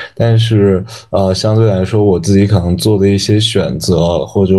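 A man with a fairly low pitch and an unremarkable speaking voice talks at a moderate pace with fairly even intonation. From China, Yunnan (Dali). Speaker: university student and intern. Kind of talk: casual chat.

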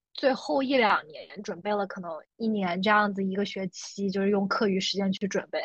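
Here a woman talks at a moderate pace with hardly any pauses. Her voice is somewhat breathy, with medium pitch and ordinary pitch variation. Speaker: guest, works in US. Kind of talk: casual chat.

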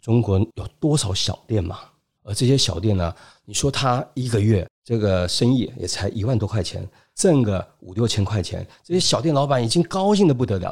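Heard on a very clean recording with a silent background, a man talks at a moderate pace, somewhat breathy, with lively intonation. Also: medium pitch for a man. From Taiwan. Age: 50s. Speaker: business school lecturer and consultant. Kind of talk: interview.

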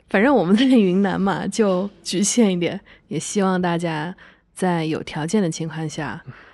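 A woman's medium-pitched voice at a fairly slow pace, with ordinary pitch variation against a quiet background. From Kunming, Yunnan. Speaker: podcast host. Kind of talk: casual chat.

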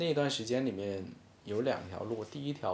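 Audible room echo surrounds a man speaking fairly quickly in a medium pitch. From China, Hainan. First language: Hainanese (speaking Chinese). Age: 20s. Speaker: freelance short-video creator. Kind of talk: casual interview chat. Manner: hesitant, many filler sounds.

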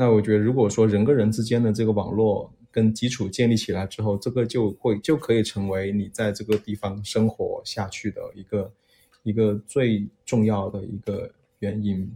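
The voice is somewhat breathy with a dark, mellow tone. It stays monotone and flat at a moderate pace. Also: man, fairly low pitch for a man. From Guangxi. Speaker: podcast guest. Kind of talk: casual chat.

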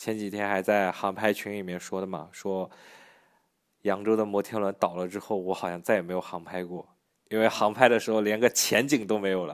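A man's plain, everyday voice, fairly low in pitch, with fairly even intonation and a fairly quick pace. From Yancheng, Jiangsu; raised in Yangzhou from age ~11. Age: young. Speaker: video creator and studio owner. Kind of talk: casual interview.

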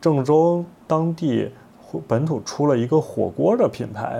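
A man speaks at a very slow pace. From China, Henan (Zhengzhou). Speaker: podcast host and young artist. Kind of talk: casual chat.

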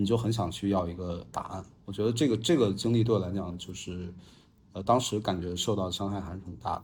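A man speaks fairly quickly in a fairly low, somewhat breathy voice. His intonation is fairly even, and the room echo is audible. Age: 30s. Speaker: podcast guest. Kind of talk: casual chat. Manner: halting.

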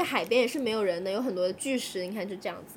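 A woman speaks with lively intonation at a fairly high pitch. It is a normal speaking voice. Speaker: podcast co-host. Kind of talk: casual chat.

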